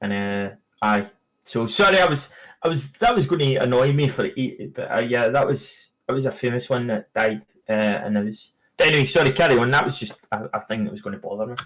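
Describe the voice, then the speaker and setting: A man with a Scottish accent, medium in pitch, at a fairly quick pace with lively intonation. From Scotland. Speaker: podcast co-host. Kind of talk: casual chat.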